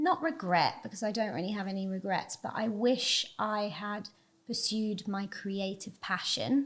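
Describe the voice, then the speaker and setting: A woman talks at a fairly slow pace, her voice somewhat breathy. The recording is very clean, with a silent background. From England, Devon. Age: 30s. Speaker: agency CEO and podcast host. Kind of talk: interview conversation.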